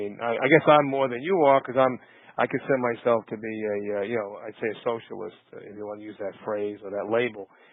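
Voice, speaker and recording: A man with a Brooklyn accent at a very fast pace, his pitch medium. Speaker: podcast host. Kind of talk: interview. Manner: halting, many fillers.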